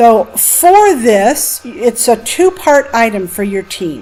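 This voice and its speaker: Noticeable background noise sits under a woman's high-pitched voice. She speaks at a very slow pace. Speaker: college instructor. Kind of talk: lecture. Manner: expressive, with highs and lows.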